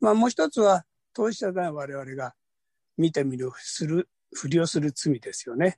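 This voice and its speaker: Heard in a dry, close sound with no echo, the speech moves at a moderate pace with lively intonation. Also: man, high pitch for a man. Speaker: workshop participant asking question. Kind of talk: question to speakers. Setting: video call.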